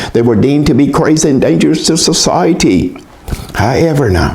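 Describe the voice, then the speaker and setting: Background noise is noticeable throughout. A man talks at a fairly quick pace. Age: 80s+. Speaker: mental health talk speaker. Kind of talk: personal commentary talk.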